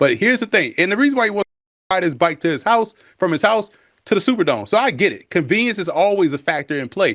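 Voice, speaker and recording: A man with a New Orleans accent talks at a very fast pace in a high, animated voice full of very wide pitch swings, over a quiet background. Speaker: football analyst. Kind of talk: TV sports analysis.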